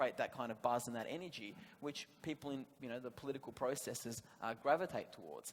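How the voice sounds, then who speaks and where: A man talks very fast with an Australian accent. His pitch is fairly high, with ordinary variation. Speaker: government policy panelist. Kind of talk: panel discussion.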